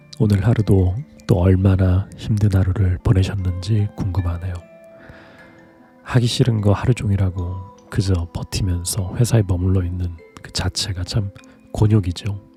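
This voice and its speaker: A man's calm, soothing tone at a fairly slow pace, fairly even in intonation, with music in the background. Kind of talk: sleep talk.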